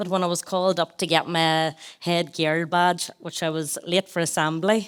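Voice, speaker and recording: A woman's fairly low voice at a moderate pace, with fairly even intonation, in a very clean recording with a silent background. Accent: Northern Irish. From Northern Ireland, rural County Tyrone. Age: 30s. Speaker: wellbeing brand founder and former teacher. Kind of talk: live podcast interview. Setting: stage with live audience.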